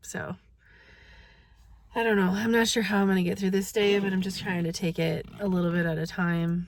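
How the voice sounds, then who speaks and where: A somewhat breathy woman's voice, fairly low in pitch, with fairly even intonation at a fairly quick pace. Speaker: vlogger. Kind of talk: casual vlog.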